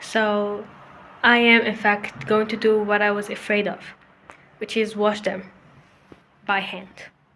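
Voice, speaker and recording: Speaking with a non-native accent, a woman at medium pitch talks at a fairly slow pace in a monotone, flat intonation, with long, frequent pauses. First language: not English. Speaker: student vlogger. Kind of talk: casual vlog talk. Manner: informal, self-correcting.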